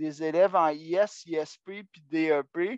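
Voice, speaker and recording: A man speaks with ordinary pitch variation, his voice dry and close with no echo over a quiet background. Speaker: national adult education services coordinator. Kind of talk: online meeting presentation. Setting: video call.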